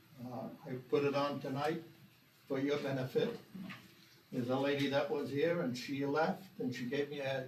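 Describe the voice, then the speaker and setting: The speech moves at a moderate pace, broken by long, frequent pauses. Audible room echo and noticeable background noise fill the recording. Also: man, fairly high pitch for a man, ordinary pitch variation. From Maine. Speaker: retiree, public commenter. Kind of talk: unprepared public comment. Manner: halting.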